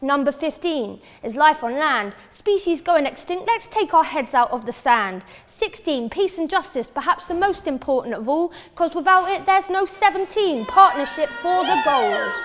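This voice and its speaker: Over noticeable background noise, a woman talks at a moderate pace with hardly any pauses, her extremely high pitch swinging very widely. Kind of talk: spoken word poetry performance.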